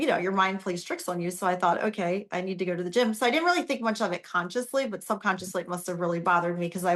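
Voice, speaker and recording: A woman's medium-pitched voice in an American accent. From Ohio, US Midwest. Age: 50s. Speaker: author and speaker. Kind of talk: personal story in interview.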